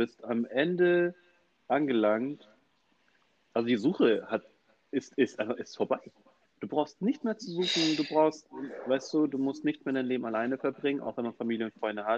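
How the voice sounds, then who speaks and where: A man with a fairly high pitch talks at a moderate pace with ordinary pitch variation and long, frequent pauses. The sound is dry and close, with no echo. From Hamburg, Germany. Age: 30s. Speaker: podcast co-host. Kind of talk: casual chat. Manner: halting, many repetitions.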